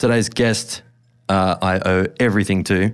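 Over a very clean recording with a silent background, a man with an Australian accent speaks at a moderate pace. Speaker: podcast host and tattoo artist. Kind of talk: reading aloud; casual chat. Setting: studio.

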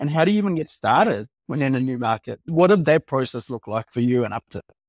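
A man speaks in an ordinary speaking voice, fairly high in pitch, at a fairly quick pace. The recording is very clean and silent behind him, with a dry, close sound and no echo. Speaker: podcast host. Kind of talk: casual podcast interview.

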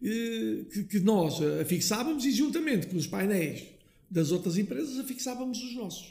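A man talks at a high pitch with very wide swings. Audible room echo and noticeable background noise fill the recording. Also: fairly slow pace. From Portugal, Lousã (central interior). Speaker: family business owner, liqueur maker. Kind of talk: interview, storytelling. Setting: his factory premises.

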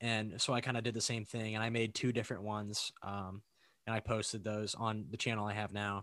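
A man with a bright, sharp tone, fairly low pitch, monotone, flat intonation and a fairly quick pace. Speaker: YouTuber, voice impressionist. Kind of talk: casual chat, video call interview. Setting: video call. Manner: loud, swears a lot, jokey.

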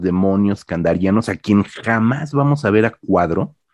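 A man with a Mexican accent speaks in a dark, mellow tone with very wide pitch swings. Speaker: podcast host, horror film critic. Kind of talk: casual chat.

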